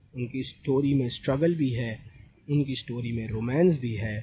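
A man speaks at a very slow pace, somewhat breathy and with ordinary pitch variation, in a dry sound with no echo over light background noise. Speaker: storytelling commentator. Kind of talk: commentary. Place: home room. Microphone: studio mic.

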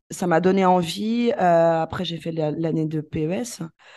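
Over a quiet background, a woman with a fairly low pitch speaks in a dark, mellow tone with fairly even intonation. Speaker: primary school teacher. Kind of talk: casual interview. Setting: remote call from abroad.

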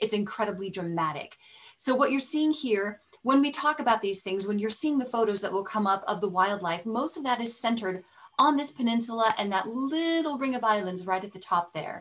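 Lively in intonation, a woman speaks at a fairly quick pace with a fairly high pitch. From Colorado, US. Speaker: presenter. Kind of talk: webinar presentation. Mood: enthusiastic, warm. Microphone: webcam.

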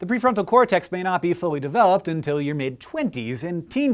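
Pitched high, a man talks at a fairly quick pace with very wide pitch swings over a quiet background. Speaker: science educator. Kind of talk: educational science explainer. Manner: fast. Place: studio. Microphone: lapel.

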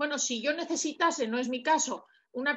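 A woman speaks at a high pitch and a moderate pace, with ordinary pitch variation. The background is quiet. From Basque Country. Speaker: audience member. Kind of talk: audience question. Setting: video call. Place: home room. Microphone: video call.

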